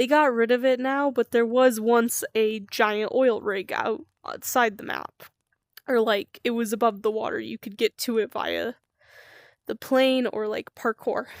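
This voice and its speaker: On a very clean recording with a silent background and a dry, close sound with no echo, a woman with a plain, everyday voice speaks at a fairly slow pace, her pitch fairly high and her intonation fairly even. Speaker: streamer. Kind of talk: casual storytelling monologue.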